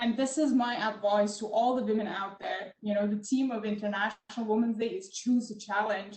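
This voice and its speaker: In a non-native accent, the speaker moves at a fairly quick pace with monotone, flat intonation and hardly any pauses. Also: woman, fairly high pitch for a woman. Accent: foreign accent in English. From Middle East. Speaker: tech entrepreneur in oil and gas. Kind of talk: panel discussion. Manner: many filler ums.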